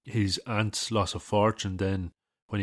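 In an Irish Midlands accent, a man with a very deep, low pitch speaks in a monotone, flat intonation, the sound dry and close with no echo on a very clean recording with a silent background. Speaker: artist and podcast host. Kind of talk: casual solo talk. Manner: casual, with many fillers.

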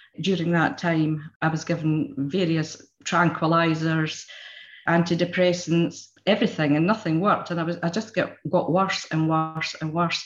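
The speaker talks at a moderate pace with fairly even intonation. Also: woman, fairly low pitch for a woman. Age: 60s. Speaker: therapy client. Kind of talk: testimony. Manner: halting.

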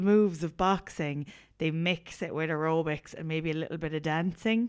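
A woman talks at a moderate pace with an Irish accent and a fairly low pitch. The recording is very clean, with a silent background. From Ireland. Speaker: podcast co-host. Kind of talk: casual chat. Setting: recording while travelling in Thailand.

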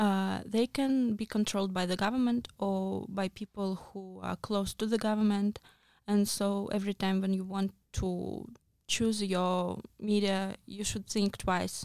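At a fairly slow pace, a woman talks in a medium-pitched, flat monotone, with a dry, close sound and no echo. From Moscow region, Russia. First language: Russian. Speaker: journalist. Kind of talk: interview. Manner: halting.

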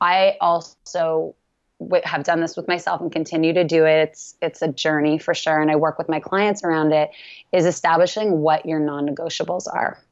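The delivery is monotone, its intonation flat. The pace is moderate. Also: woman, fairly low pitch for a woman. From Canada. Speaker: yoga teacher and wellness coach. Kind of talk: casual interview.

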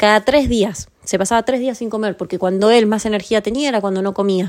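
This woman talks at a fairly quick pace in a medium pitch. Her pitch varies in an ordinary way. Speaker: podcast host. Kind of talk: casual chat.

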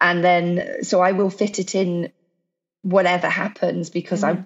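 Music plays in the background as a woman with a medium pitch talks at a moderate pace. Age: 40s. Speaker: CrossFit athlete and entrepreneur. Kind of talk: casual chat.

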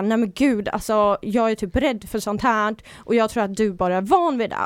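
Moderate pace, ordinary pitch variation and an unremarkable speaking voice, on a very clean recording with a silent background. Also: woman. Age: 20s. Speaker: reality TV personality. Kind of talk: casual chat. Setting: studio.

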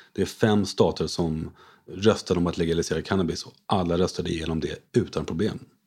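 Over a silent background in a very clean recording, a man with a very deep, low pitch speaks fairly quickly with fairly even intonation. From France. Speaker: investor, former short seller. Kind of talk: interview.

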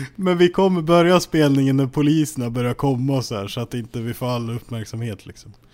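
A man talks at a fairly quick pace with hardly any pauses, in a normal speaking voice of medium pitch. His loudness swings a lot, while his pitch varies in an ordinary way. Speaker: podcast host. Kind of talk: casual chat. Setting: at home.

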